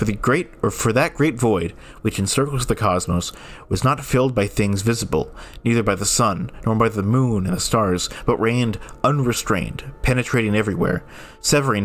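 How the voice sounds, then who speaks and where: At a moderate speed, an ordinary speaking voice varies its pitch an ordinary amount. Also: man, very even loudness. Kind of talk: reading of public domain ghost stories.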